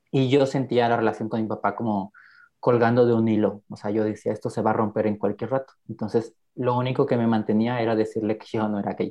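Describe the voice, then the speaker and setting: Delivery is fairly quick and monotone, with flat intonation, from a man at medium pitch. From Mexico, Guerrero (rural town near Taxco). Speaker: podcast guest sharing life story. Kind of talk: personal testimony interview.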